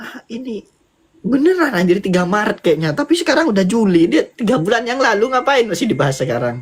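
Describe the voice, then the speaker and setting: His pitch is high and swings very widely. The man talks at a very fast pace. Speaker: fellow live streamer. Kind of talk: casual chat.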